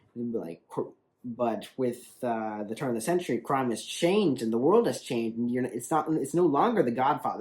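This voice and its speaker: Here a man talks at a fairly quick pace in a medium pitch. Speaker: online video reviewer. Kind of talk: casual video review monologue. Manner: fast; halting, many restarts and fillers.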